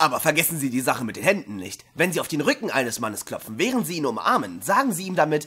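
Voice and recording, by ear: A man does a put-on character voice at a fairly high pitch with big pitch swings. It comes fast, with a bright, sharp tone and a slightly husky edge.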